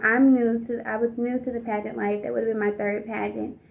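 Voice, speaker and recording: A woman talks with an American accent. Her pitch is fairly high and her intonation fairly even. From US South, Georgia. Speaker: pageant contestant. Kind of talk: personal storytelling vlog. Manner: casual, with many fillers.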